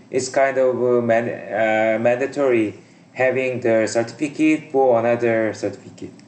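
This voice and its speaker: A man with a non-native accent speaks at a medium pitch and moderate pace in a flat monotone. His loudness stays very even over noticeable background noise. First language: not English. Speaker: English learner, aviation certificate candidate. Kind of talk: conversation practice lesson. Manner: halting, many fillers and repetitions.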